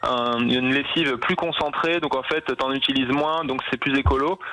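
Medium male pitch and fairly even intonation from a man, with noticeable background noise behind him. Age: 30s. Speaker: ecology expert. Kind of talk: radio interview.

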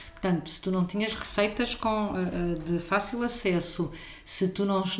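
This woman has a normal speaking voice at medium pitch. She talks at a fairly slow pace with fairly even intonation. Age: 50s. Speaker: caterer and cook. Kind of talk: casual interview.

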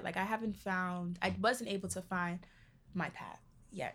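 A woman with an American accent speaks at a moderate pace in an ordinary speaking voice, her pitch medium and her intonation fairly even. The recording is very clean, with a silent background. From New York City, the Bronx. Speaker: college student. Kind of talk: interview.

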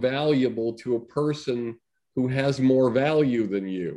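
Against a quiet background, a man with an American accent talks at a very slow pace in a dark, mellow tone at a medium pitch. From Massachusetts, US. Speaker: comedy talent manager and producer. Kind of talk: casual interview chat.

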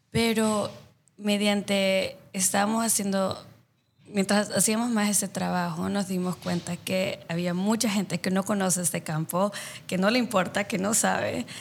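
Speaking at a fairly slow pace, a woman with medium pitch and fairly even intonation comes through in a very clean recording with a silent background. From El Salvador. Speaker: social impact consultant. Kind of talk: interview. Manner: halting, with many fillers.

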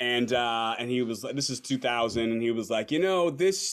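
An ordinary speaking voice with an American accent, lively intonation, and a moderate pace, on a very clean recording with a silent background. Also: man. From Los Angeles. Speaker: performance artist and beatboxer. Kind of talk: casual chat.

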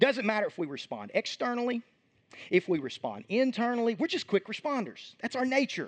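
The delivery is animated, with lively intonation and a fairly quick pace. The sound is dry and close with no echo. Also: man, extremely high pitch for a man. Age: 30s. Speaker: pastor. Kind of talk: sermon.

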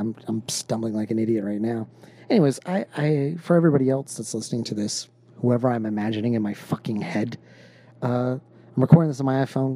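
Speaking very fast with an American accent, a man talks at a medium pitch. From Texas. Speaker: podcast host. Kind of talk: casual chat; solo monologue. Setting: in bed. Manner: halting.

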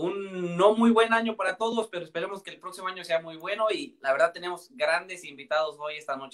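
With a Mexican accent, a man talks at a fairly quick pace in a high voice. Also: ordinary pitch variation, hardly any pauses. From Mexico. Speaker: podcast co-host. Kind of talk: casual chat.

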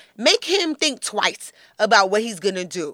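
In a New York accent, a woman speaks at a moderate pace with a fairly high pitch and a bright, sharp tone. The recording is very clean with a silent background and a dry, close sound with no echo. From Flatbush, Brooklyn, New York. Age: 30s. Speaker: beauty expert and lifestyle guru. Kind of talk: casual chat.

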